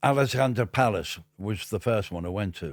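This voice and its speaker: A man with a Liverpool accent talks with ordinary pitch variation in a very clean recording against a silent background. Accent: Liverpool (Scouse). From Liverpool, northern England. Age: 70s. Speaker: music industry veteran. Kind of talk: interview storytelling. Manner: animated; halting.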